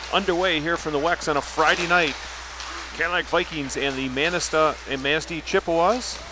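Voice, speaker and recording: Against noticeable background noise, a man with a high-pitched voice speaks with fairly even intonation. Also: fairly quick pace, dry sound with no echo. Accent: American. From US Midwest. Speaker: sports commentator. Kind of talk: live commentary. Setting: commentary booth at ice rink. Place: stadium.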